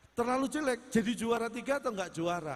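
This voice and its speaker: Music plays in the background as a man speaks at an extremely high pitch. His pitch swings very widely. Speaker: stand-up comedian. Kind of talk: live comedy performance on stage.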